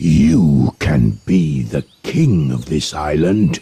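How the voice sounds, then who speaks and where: Growling in a put-on character voice, a man speaks very slowly at a very deep, low pitch with lively intonation. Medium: read story.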